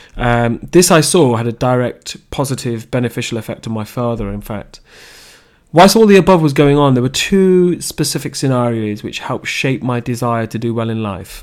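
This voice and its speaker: In a Leicester accent, the speaker talks at a moderate pace with ordinary pitch variation. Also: man. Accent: English Midlands (Leicester). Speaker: podcaster sharing personal story. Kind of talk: personal monologue. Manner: halting.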